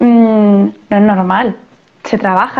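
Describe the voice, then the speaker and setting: A woman's fairly high, monotone voice with flat intonation. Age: 30s. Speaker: physiotherapist and CrossFit coach. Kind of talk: interview conversation. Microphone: poor audio in parts.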